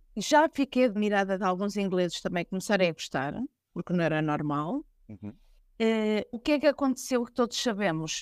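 A woman talks at medium pitch and a moderate pace, with very wide pitch swings. The recording is very clean, with a silent background. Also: dry, close sound with no echo. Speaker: fado singer. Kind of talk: interview.

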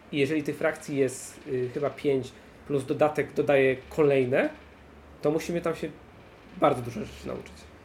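At a moderate pace broken by long, frequent pauses, a man speaks in a relaxed tone, somewhat breathy and fairly high-pitched, with fairly even intonation. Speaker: board game podcaster. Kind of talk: casual chat. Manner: joking, relaxed.

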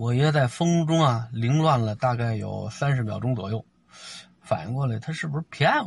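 A somewhat breathy speaker keeps a moderate pace and shows ordinary pitch variation. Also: man, medium pitch for a man. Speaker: storyteller podcaster. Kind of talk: storytelling monologue. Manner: animated.

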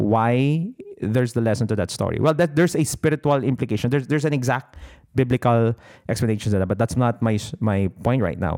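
Very fast speech with very even loudness and ordinary pitch variation, on a very clean recording with a silent background. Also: man, medium pitch for a man. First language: Tagalog. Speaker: business coach podcaster. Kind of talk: motivational talk. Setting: solo podcast recording.

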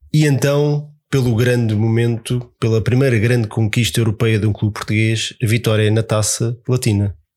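A man talks at a medium pitch. His voice is somewhat breathy. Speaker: podcast host. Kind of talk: casual chat.

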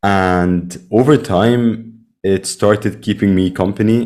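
A man speaks at a fairly low pitch with ordinary pitch variation. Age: 20s. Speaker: podcast host. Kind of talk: interview conversation.

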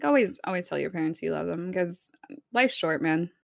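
A woman with a Spanish accent speaks with vocal fry on a very clean recording, its background silent and its sound dry and close with no echo. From Texas. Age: 20s. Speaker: streamer. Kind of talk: casual chat.

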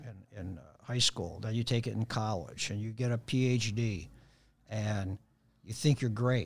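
A man with a Chicago accent talks at a fairly slow pace and medium pitch. His intonation is fairly even, and the recording is very clean with a silent background. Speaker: jiu-jitsu practitioner. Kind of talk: casual chat. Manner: halting.

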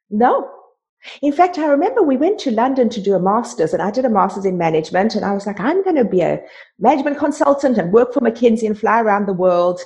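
With a South African accent, a woman talks at a very fast pace in a fairly high, somewhat breathy voice with a dark, mellow tone. Her pitch swings very widely. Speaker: life coach. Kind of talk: casual interview conversation.

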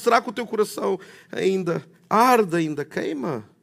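A man speaks in a warm tone. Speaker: preacher. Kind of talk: sermon. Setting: church with congregation. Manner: rhetorical, repeating questions for emphasis; warm, conversational, preacherly.

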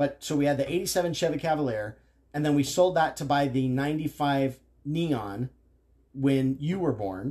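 With a dark, mellow tone, a man talks at a fairly slow pace and a fairly high pitch, using ordinary pitch variation. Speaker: father of the host, motorcycle enthusiast. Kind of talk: casual chat.

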